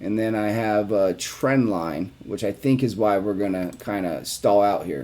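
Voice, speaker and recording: With a plain, everyday voice, a man speaks at a fairly low pitch and a fairly slow pace, using ordinary pitch variation and hardly any pauses. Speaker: investing video creator. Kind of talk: chart analysis tutorial. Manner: casual with fillers.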